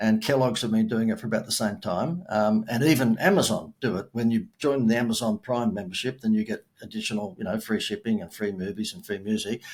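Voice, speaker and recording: With an Australian accent, a man of medium pitch speaks at a fairly quick pace with hardly any pauses. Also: ordinary pitch variation. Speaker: marketing expert and keynote speaker. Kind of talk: podcast interview. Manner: animated.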